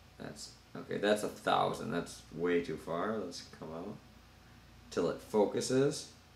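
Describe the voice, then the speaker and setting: A man talks fairly slowly in a fairly low voice, with big swings in loudness. Audible room echo and light background noise are present. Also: ordinary pitch variation. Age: 30s. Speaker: YouTuber doing product reviews. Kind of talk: unboxing and product review. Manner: casual, loose with filler words. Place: home room. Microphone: camera far.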